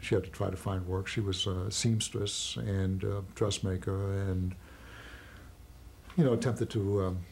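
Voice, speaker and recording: Somewhat breathy, a man talks at a fairly slow pace with fairly even intonation and long, frequent pauses. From Germany. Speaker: Holocaust survivor. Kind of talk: testimony. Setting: recorded interview. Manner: halting.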